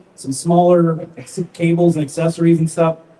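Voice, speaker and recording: A man at a fairly high pitch and fairly quick pace, amid noticeable background noise. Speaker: audio company trainer. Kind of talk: live product presentation. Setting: large retail store with audience. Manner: loud.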